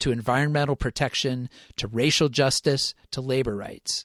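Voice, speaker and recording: The sound is dry and close with no echo, the background is quiet, and the pace is moderate. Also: man. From US Northeast, Rochester, New York. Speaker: podcast host and journalist. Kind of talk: scripted narration. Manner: formal.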